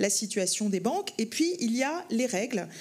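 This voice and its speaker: A woman's fairly high-pitched voice at a fairly slow pace. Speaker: banking federation executive. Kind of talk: panel discussion. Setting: conference stage with audience. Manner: hesitant, many fillers.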